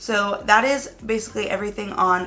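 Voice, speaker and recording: There is audible room echo and noticeable background noise. A woman at medium pitch talks with fairly even intonation. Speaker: beauty YouTuber. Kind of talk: makeup review tutorial.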